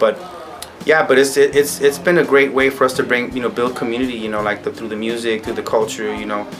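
A man at a fast pace with fairly even intonation over faint background noise. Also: medium pitch for a man.

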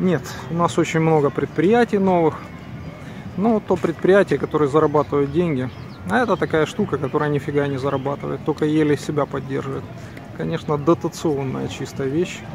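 A man speaks at a fairly high pitch with ordinary pitch variation and long, frequent pauses, his voice dry with no echo over noticeable background noise. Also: moderate pace. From Ukraine. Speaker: video blogger. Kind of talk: casual vlog walk-and-talk. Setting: outdoors. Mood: bitter in parts. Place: street. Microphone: phone near.

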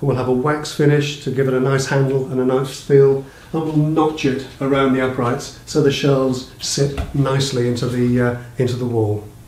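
Audible room echo hangs over a flat, monotone delivery. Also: man, moderate pace, hardly any pauses. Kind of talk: tutorial. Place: home room.

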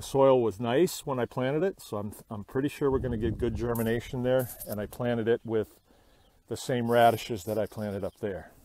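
This man has a dark, mellow tone and a medium pitch. He talks at a moderate pace with ordinary pitch variation.

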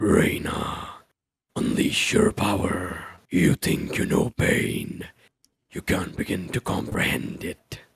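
A raspy, put-on character voice moves at a fairly slow pace with long, frequent pauses. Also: man, fairly low pitch for a man. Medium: role play. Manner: slow, brooding.

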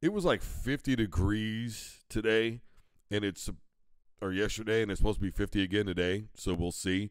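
The speaker talks at a moderate pace in an animated tone, with ordinary pitch variation. The recording is very clean, with a silent background. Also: man. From US Midwest. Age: 40s. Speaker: sports talk show host. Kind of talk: sports talk monologue. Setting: live broadcast studio.

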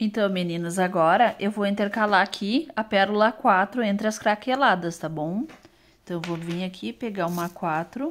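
With ordinary pitch variation, a woman keeps a moderate pace. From Brazil. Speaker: craft youtuber. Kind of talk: tutorial. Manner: casual, chatty. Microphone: phone near.

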